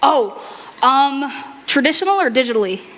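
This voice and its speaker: Noticeable background noise sits behind the recording. A woman speaks loudly at a moderate pace. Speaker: convention panel presenter and furry artist. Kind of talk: convention panel talk with audience Q&A. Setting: convention panel room with audience. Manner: animated.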